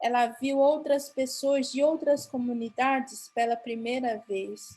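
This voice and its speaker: Very slowly and with fairly even intonation, a woman speaks in a high-pitched voice. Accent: Paraguayan. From Mato Grosso do Sul, Brazil (Guarani Kaiowá). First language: Guarani (speaking Portuguese). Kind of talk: conference talk. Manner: halting, with false starts.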